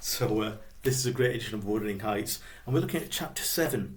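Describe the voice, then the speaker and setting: Audible room echo surrounds a man with a Yorkshire accent and vocal fry. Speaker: biographer and blogger. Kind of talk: literary talk with reading aloud. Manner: casual, with hesitations.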